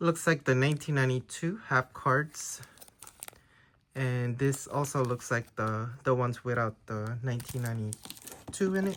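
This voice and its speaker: A man talks at a moderate pace with a Filipino accent. His voice sits at medium pitch with ordinary pitch variation. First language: Tagalog. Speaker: trading card collector YouTuber. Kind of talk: casual unboxing video. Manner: hesitant, many fillers.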